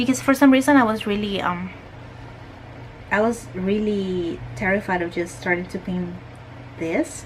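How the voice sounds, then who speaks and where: Medium-pitched woman with lively intonation, moderate pace and long, frequent pauses, against noticeable background noise. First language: not English. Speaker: art youtuber. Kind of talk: casual chat while painting. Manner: halting.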